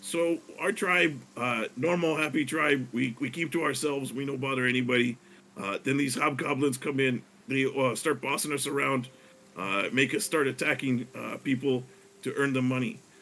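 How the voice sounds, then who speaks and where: A man puts on a raspy character voice at medium pitch. He speaks at a moderate pace. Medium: actual play. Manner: halting, broken grammar.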